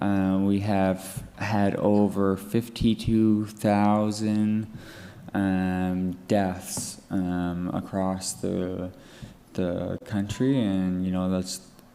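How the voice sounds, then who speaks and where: Someone speaks at a very slow pace, with audible echo from the room. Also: man, fairly low pitch for a man. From Atlantic Canada. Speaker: drug user activist. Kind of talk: conference presentation. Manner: halting, many fillers and restarts.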